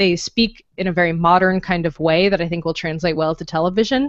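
A woman speaks in an ordinary speaking voice, fairly low in pitch with fairly even intonation, the sound dry with no echo against a quiet background. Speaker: podcast co-host. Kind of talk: casual podcast chat. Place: home room. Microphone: studio mic.

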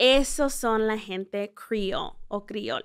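The speech comes at a very slow pace with lively intonation. The recording is very clean, with a silent background. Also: woman. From central California and small-town Texas, Mexican parents. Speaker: tourism communications director and podcast host. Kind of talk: informal travel guide explanation.

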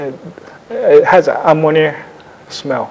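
This man's voice shows ordinary pitch variation. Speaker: ceramic artist demonstrating glazes. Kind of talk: demonstration talk. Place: classroom. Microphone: lapel.

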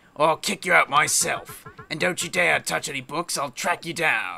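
Using a put-on character voice, a man with a high pitch speaks at a moderate pace. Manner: grumpy, irritable.

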